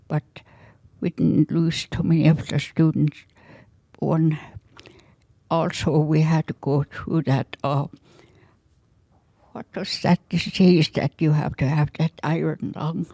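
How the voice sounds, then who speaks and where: Very slow and broken by long, frequent pauses, a woman's very deep, low voice holds fairly even intonation in a dry, close sound with no echo. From interior Alaska (Yukon River village). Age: 80s+. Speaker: Alaska Native elder. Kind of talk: storytelling.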